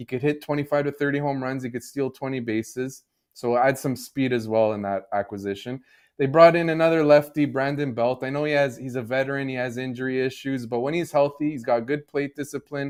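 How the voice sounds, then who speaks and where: With a slight Canadian accent, a man talks at a fairly quick pace and with fairly even intonation. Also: medium pitch for a man. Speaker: sports betting analyst. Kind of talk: podcast discussion.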